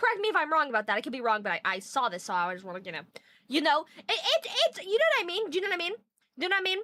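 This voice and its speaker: A woman projects her voice in an animated, bright and sharp tone, her pitch swinging very widely. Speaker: streamer. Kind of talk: live stream chat reading. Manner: fast.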